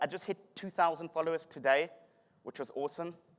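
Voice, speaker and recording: A high-voiced man talks at a very fast pace in a South African accent. The sound is dry and close, with no echo. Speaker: tech conference speaker, developer relations. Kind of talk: conference talk. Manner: animated.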